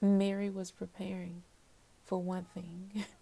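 The voice is somewhat breathy with a dark, mellow tone, delivered at a fairly slow pace. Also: woman. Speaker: podcast host. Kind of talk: devotional monologue. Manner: hesitant fillers.

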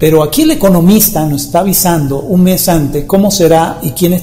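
A man talks at a moderate pace with ordinary pitch variation, while noticeable background noise and audible room echo fill the recording. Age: 50s. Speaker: spiritual healer and radio host. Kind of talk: monologue forecast talk show.

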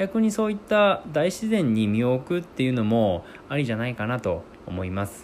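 A man's medium-pitched voice with very wide pitch swings, amid noticeable background noise. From Akita, northern Japan. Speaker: podcast host. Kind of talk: solo podcast monologue.

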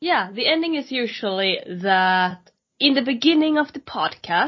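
Fairly slow speech with a Swedish accent. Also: woman. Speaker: podcast host. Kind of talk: interview.

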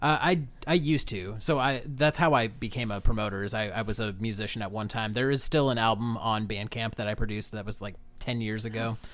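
A man at medium pitch, talking at a very fast pace with ordinary pitch variation. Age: 30s. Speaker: podcast host and music promoter. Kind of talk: casual interview.

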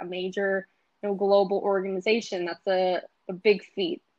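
A woman with an unremarkable speaking voice, medium in pitch, at a moderate pace against a quiet background. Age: 20s. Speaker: life sciences recruiter. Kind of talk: casual interview.

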